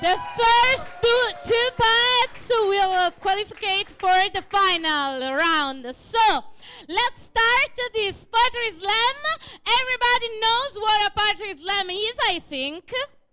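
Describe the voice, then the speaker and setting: Very slowly and in an Italian accent, a woman projects a raised voice at an extremely high pitch, bright and sharp in tone, with very wide pitch swings. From Italy. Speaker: event host. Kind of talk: live event hosting. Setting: stage with audience.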